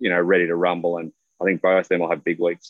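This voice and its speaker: This man has a very deep, low pitch. He speaks with an American accent. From Australia. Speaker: golf pundit. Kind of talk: casual chat.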